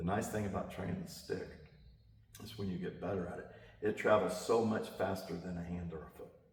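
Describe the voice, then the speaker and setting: A man with a very deep, low voice speaks in a fairly even tone, with long, frequent pauses, big swings in loudness, noticeable background noise and audible room echo. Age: 60s. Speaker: martial arts instructor. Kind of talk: interview. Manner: casual, conversational with many fillers.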